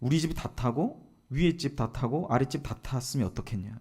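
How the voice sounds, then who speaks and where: A man's medium-pitched voice with a dark, mellow tone, at a moderate pace. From Gyeongsang region, Korea. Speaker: pastor. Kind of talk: sermon.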